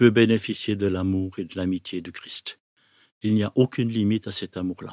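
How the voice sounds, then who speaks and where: A man with a plain, everyday voice, fairly low in pitch, with fairly even intonation and big swings in loudness, at a moderate pace, in a very clean, dry, close recording with no echo and a silent background. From Switzerland, Neuchâtel. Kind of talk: testimony.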